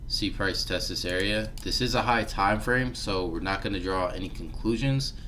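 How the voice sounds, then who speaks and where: Audible room echo carries a man talking at a fairly quick pace. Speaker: forex trader and trading educator. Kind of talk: live-stream market analysis tutorial. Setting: live stream with background music. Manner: casual, filler-heavy; mumbling.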